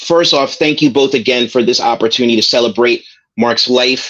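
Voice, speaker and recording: Spoken with an American accent at a moderate pace, the voice keeps very even loudness and ordinary pitch variation against a quiet background. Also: man. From New York. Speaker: comics writer and editor; comics writer. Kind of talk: interview. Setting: video call. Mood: reflective, remembering a late colleague. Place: home room. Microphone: video call.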